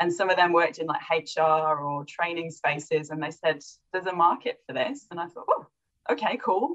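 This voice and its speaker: A woman's fairly low voice, an unremarkable speaking voice, at a moderate pace, with ordinary pitch variation and big swings in loudness. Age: 30s. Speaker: critical thinking facilitator and coach. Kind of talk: interview. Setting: call.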